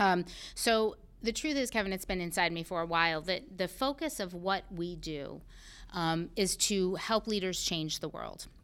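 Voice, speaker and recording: A woman with an American accent speaks at a moderate pace and medium pitch with lively intonation in a very clean recording with a silent background. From Massachusetts, US. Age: 40s. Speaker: CEO and storyteller. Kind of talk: casual interview conversation.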